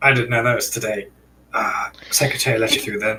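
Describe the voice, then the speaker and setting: Raspy, put-on character voice from a man at medium pitch and a very fast pace. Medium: actual play.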